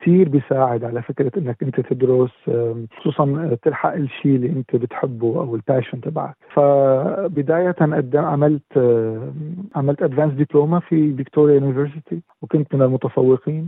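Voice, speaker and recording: This man has an unremarkable speaking voice, fairly high in pitch with ordinary variation, moving at a moderate pace with hardly any pauses. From Syria. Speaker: musician and former dentist. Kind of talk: interview.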